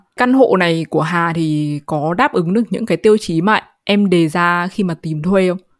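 Speaking in a normal speaking voice, a woman talks at a moderate pace with hardly any pauses. Her pitch is fairly low with ordinary variation, and the sound is dry and close with no echo. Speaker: podcast host. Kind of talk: casual chat.

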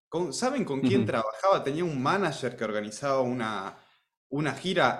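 Room echo is audible around this man. His intonation is lively. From Argentina, Rosario area. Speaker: music teacher, music school founder. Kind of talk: casual chat.

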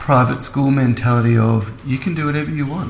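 A man with an Australian accent is heard over noticeable background noise. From Melbourne, Australia. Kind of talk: casual chat.

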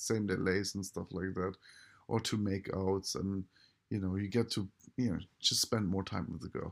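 Speaking with a German accent, a man keeps his fairly low voice at fairly even intonation. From Germany. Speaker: dating coach. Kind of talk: solo podcast monologue. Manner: casual with many fillers.

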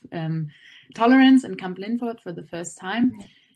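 A woman with a German accent, ordinary pitch variation, and a quiet background. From Germany. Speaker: student campus representative. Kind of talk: interview.

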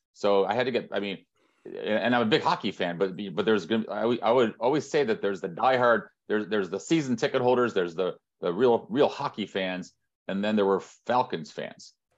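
A man with a Midwestern American accent, medium pitch and lively intonation at a fairly quick pace, over a quiet background. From Northern Indiana. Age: 50s. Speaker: sports marketing executive. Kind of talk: interview. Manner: halting.

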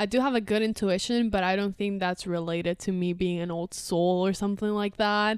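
On a very clean recording with a silent background, a woman with a Spanish accent speaks at a fairly quick pace in a medium pitch with fairly even intonation. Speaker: podcast co-host. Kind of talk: casual chat.

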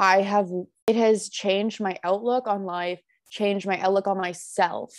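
The speaker is a woman with a Canadian accent. She uses a normal speaking voice at medium pitch. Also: very clean recording, silent background. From Ontario, Canada (Burlington). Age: 20s. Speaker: college student. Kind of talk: casual interview.

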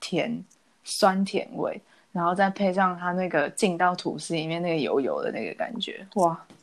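In a very clean recording with a silent background, a woman uses a normal speaking voice at medium pitch and moderate pace, with ordinary pitch variation. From Taiwan. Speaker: podcast co-host. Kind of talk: casual chat.

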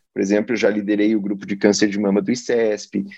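In a dry, close recording with no echo, a man speaks at a moderate pace with a fairly low pitch and a dark, mellow tone. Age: 40s. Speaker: oncologist. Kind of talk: interview.

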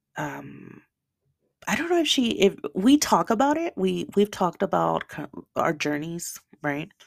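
On a very clean recording with a silent background, a woman talks at a fairly slow pace with long, frequent pauses. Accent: Spanish. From El Salvador, raised in the US. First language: Spanish. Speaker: podcast host. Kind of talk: personal monologue. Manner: halting, repeats words.

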